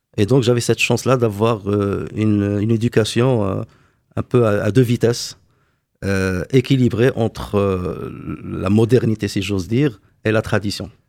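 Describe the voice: A man with a fairly low pitch, vocal fry and a slightly mellow tone, at a fairly slow pace with fairly even intonation, in a very clean recording with a silent background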